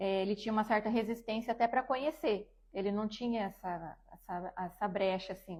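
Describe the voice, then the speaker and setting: A woman speaks in an ordinary speaking voice, fairly high in pitch with ordinary variation. She barely pauses at all. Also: moderate pace. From Brazil, Dourados, Mato Grosso do Sul. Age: 30s. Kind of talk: testimony.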